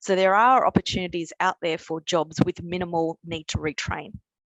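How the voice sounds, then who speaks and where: With an Australian accent, a woman talks at a fairly quick pace. Her pitch is medium and her intonation fairly even. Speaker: energy company skills manager. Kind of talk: webinar talk. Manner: halting, with repetitions.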